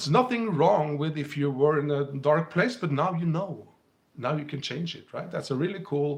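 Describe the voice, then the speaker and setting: Speaking at a moderate pace with a Scandinavian accent, a man has a fairly high pitch, ordinary pitch variation and big swings in loudness. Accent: Scandinavian, heard by a viewer as British. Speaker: spiritual teacher and livestream host. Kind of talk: live stream talk to viewers.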